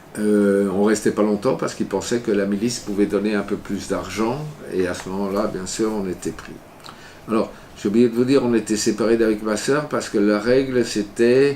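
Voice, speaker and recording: There is noticeable background noise as a man speaks at a moderate pace with fairly low pitch and fairly even intonation. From France. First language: Yiddish (speaking French). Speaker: Holocaust survivor. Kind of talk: testimony. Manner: halting.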